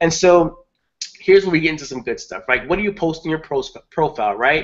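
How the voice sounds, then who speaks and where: A man at a fairly high pitch, fairly quick pace and ordinary pitch variation. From Brooklyn, New York, US. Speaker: online marketing trainer. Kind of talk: webinar presentation. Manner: fast.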